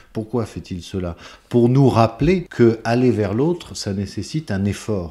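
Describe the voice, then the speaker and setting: Recorded very cleanly against a silent background, a man with a fairly low pitch speaks in a dark, mellow, somewhat breathy tone with lively intonation. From France, Tours. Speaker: conductor and composer. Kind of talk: interview.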